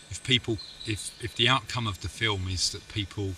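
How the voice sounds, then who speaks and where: With an East London accent, the voice has a bright, sharp tone. It moves at a fairly slow pace. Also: man. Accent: Dagenham (East London). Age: 40s. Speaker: film co-producer. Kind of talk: casual chat. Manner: halting.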